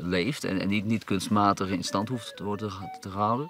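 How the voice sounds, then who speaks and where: A man's fairly low voice moves at a moderate pace with ordinary pitch variation over noticeable background noise. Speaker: musician. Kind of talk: documentary interview. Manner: halting, many repetitions.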